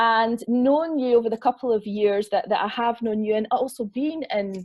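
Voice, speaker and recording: Speech comes at a moderate pace in a Scottish accent, with hardly any pauses. The pitch varies in an ordinary way. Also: woman. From Scotland. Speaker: online festival host, interviewer. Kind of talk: interview introduction.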